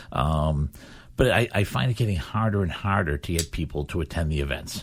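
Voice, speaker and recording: Low and very deep, a man's voice with vocal fry moves at a fairly quick pace. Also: lively intonation. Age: 60s. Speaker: local school committee chairman and charity fundraiser. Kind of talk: radio talk show conversation. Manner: casual, filler-heavy.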